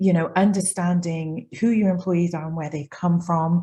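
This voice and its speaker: A somewhat breathy, dark, mellow voice with a British accent at a fairly quick pace. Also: woman. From UK. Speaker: data and analytics consultant. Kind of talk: panel discussion. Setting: video call.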